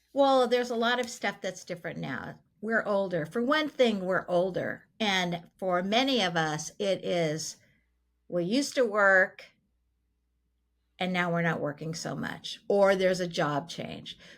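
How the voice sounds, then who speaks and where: In an ordinary speaking voice with an American accent, a woman speaks at a fairly slow pace with lively intonation and medium pitch, on a very clean recording with a silent background. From Southern California. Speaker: podcast host, financial planner. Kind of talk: casual chat.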